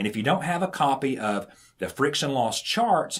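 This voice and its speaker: A man with a Southern US accent. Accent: Southern drawl. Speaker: irrigation instructor. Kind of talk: tutorial.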